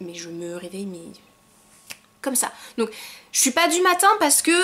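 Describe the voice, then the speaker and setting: A woman's fairly high voice with very wide pitch swings and big swings in loudness, amid noticeable background noise. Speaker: YouTuber. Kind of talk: casual vlog monologue. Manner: fast.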